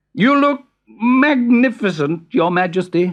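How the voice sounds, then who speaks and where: A man's put-on character voice at an extremely high pitch, mumbling with lively intonation at a fairly slow pace. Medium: read story. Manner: mumbling, hesitant.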